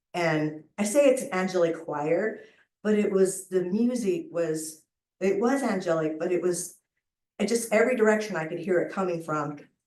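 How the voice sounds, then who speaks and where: Medium-pitched female speech carrying audible room echo. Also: ordinary pitch variation, moderate pace. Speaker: near-death experience survivor. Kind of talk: testimony. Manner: animated.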